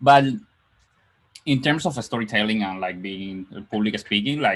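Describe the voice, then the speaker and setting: Over a very clean, silent background, a man with a non-native accent talks at a moderate pace in a fairly low pitch with ordinary pitch variation. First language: not English. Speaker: software developer. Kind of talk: casual chat. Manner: halting.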